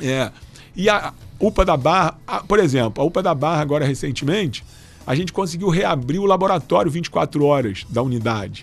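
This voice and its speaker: Over background music, a man with a fairly high voice speaks at a moderate pace with lively intonation. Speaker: doctor and health official. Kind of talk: radio interview. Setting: radio studio. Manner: halting, many fillers.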